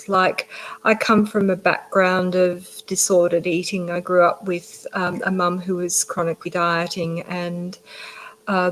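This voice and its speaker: A woman with an Australian accent speaks at a fairly slow pace in a flat, monotone delivery. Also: medium pitch for a woman. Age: 50s. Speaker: general practitioner. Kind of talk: interview.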